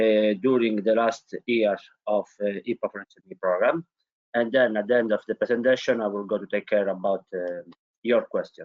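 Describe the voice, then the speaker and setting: With a strong Italian accent, a man talks at a moderate pace and medium pitch. His loudness swings widely. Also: fairly even intonation. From Italy. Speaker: innovation consultant. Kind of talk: webinar presentation. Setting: online webinar.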